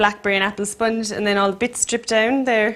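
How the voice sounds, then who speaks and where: A woman with an Irish accent, fairly high in pitch and monotone, flat in intonation, on a very clean recording with a silent background. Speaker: cook. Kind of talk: casual cooking chat. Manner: quiet.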